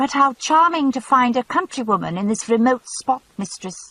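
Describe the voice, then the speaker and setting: A female-sounding, squeaky, put-on character voice comes at a high pitch and a moderate pace. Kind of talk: affected, courtly.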